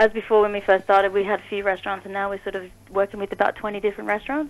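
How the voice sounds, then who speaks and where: In an Australian accent, a woman speaks at a medium pitch. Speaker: dessert chef and small business owner. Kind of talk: radio interview. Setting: phone call.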